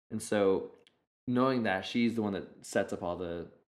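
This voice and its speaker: Here a man speaks at a fairly low pitch. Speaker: photographer and video producer. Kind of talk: interview.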